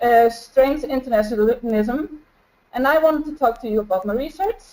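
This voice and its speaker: A woman with an Icelandic accent speaks at a moderate pace in a high pitch with ordinary pitch variation. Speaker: flight attendant and researcher presenting a case study. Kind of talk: webinar presentation. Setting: home, video webinar. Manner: halting.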